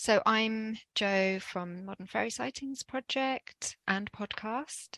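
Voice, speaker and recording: In a dry, close recording with no echo, a woman with a fairly high, bright and sharp voice speaks at a very slow pace with ordinary pitch variation. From Jersey. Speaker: podcast host guest on a folklore podcast. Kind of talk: casual chat.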